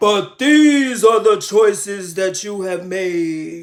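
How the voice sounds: In a put-on character voice, a man speaks very slowly and shakily at a high pitch.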